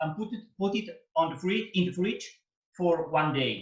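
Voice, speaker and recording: Speaking with a Spanish accent, a man uses a high pitch and lively intonation. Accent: Spanish, Mediterranean. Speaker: opera tenor. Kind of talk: cooking demonstration over video call. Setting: video call.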